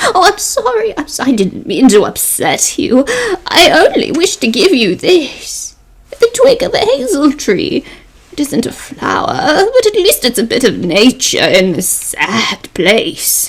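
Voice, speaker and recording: Using a put-on character voice, a woman speaks at high pitch with very wide pitch swings and a fairly slow pace. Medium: stage play. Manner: cryptic, soft-spoken.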